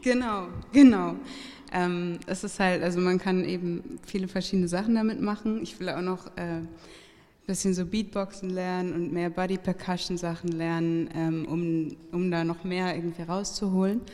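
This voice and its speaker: A woman's ordinary speaking voice, medium in pitch, with ordinary pitch variation. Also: moderate pace. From Hamburg, Germany. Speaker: singer-songwriter. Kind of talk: casual interview. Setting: live venue with audience.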